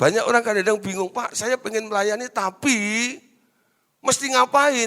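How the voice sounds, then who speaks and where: This man's voice is raised and projected, with a bright, sharp tone and a high pitch. He sounds animated, moving at a moderate pace with ordinary pitch variation. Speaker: preacher. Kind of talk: sermon. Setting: stage with audience. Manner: loud.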